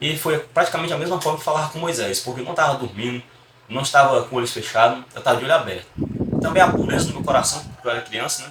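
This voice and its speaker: A man with a Ceará accent at a very fast pace, fairly high pitch, ordinary pitch variation and big swings in loudness, over noticeable background noise. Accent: northeastern Brazilian Portuguese (Ceará). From Brazil, Fortaleza, Ceará. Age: 20s. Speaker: church deacon. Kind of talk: religious testimony.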